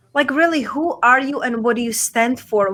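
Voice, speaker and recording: A woman speaks with a Czech accent in a high pitch. Her tone is bright and sharp. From Czech Republic, small town. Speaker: podcaster and TV show host, coach. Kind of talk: interview.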